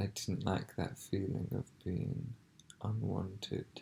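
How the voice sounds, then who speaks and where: Soft-spoken with a gentle tone, the voice moves at a very slow pace. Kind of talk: ASMR ramble, soft-spoken, part reading from a book, part personal talk to camera. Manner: soft-spoken, quiet, slow, gentle.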